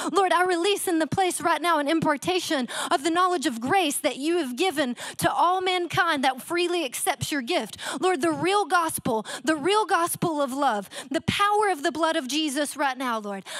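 Against a quiet background with a dry sound and no echo, a woman speaks at a moderate pace in an extremely high voice with lively intonation. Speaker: guest preacher. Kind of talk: fervent prayer. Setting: church with online audience. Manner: fervent, pleading. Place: church. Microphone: handheld.

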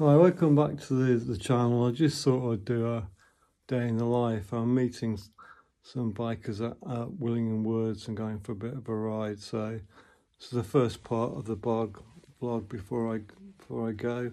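With a dark, mellow tone, a man speaks at a moderate pace using ordinary pitch variation. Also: quiet background. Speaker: motorcycle vlogger. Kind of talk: casual vlog chat. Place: home room. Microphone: phone near.

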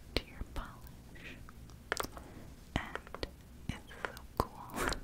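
Someone whispers at a very slow pace. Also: woman. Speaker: ASMR creator. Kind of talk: ASMR nail polish unboxing. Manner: whispered. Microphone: studio mic.

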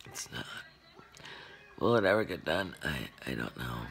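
A woman whispers in a weary tone while faint music plays in the background. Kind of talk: personal vlog confession. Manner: slow, weary, drained speech. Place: home room. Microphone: phone near.

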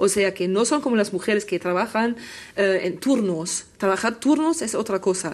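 A woman talks at a medium pitch and a moderate pace. Her intonation is lively. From Germany. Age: 50s. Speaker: journalist and gender consultant; journalist panel guest. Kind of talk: panel discussion. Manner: halting. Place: studio. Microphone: lapel.

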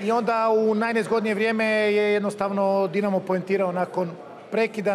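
Light background noise sits under a fairly quick delivery with monotone, flat intonation. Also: man. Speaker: football coach. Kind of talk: post-match interview. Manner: candid, reflective. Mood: serious, reflective. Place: stadium. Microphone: handheld.

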